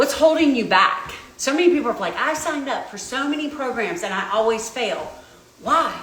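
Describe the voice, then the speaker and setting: Amid noticeable background noise and audible room echo, a woman speaks in an animated tone at a moderate pace. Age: 40s. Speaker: registered dietitian. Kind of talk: live stream Q&A while walking. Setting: walking on treadmill during livestream.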